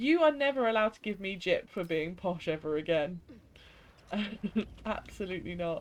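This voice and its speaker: The speaker has a strong English accent. Long pauses come often. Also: moderate pace. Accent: strong regional English accent she dislikes. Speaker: gaming streamer. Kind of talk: casual chat while live-streaming a game. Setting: live stream from home. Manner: casual, chatty.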